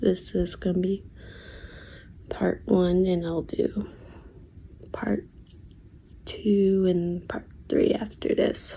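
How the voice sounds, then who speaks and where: A woman speaks quietly and very slowly, her medium-pitched voice somewhat breathy with a dark, mellow tone. Her intonation stays fairly even. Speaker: reaction video creator. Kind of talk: casual chat.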